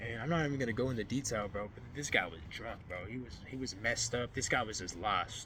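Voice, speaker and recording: A man speaks at a fairly quick pace with a medium pitch, ordinary pitch variation, and a bright, sharp tone. Audible room echo surrounds his voice. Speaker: faith vlogger. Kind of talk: personal testimony vlog. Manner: fast; casual, halting.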